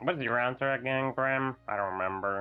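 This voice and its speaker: Putting on a character voice at medium pitch, a man talks at a fairly quick pace with faint music behind him. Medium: actual play. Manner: hesitant, murmuring.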